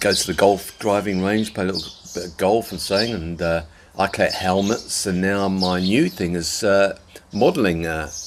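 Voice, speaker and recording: Against noticeable background noise, a man with a Channel Islands accent speaks at a fairly low pitch. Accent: British English, Channel Islands. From Jersey, Channel Islands. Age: 50s. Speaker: expat vlogger. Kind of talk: casual vlog monologue. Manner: rambling, with many fillers.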